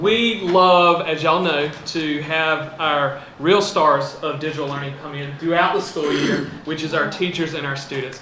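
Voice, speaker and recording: A man speaks at a moderate pace with fairly even intonation and hardly any pauses, his pitch fairly high for a man. Noticeable background noise is present. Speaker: school district digital learning staff. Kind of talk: presentation to school board.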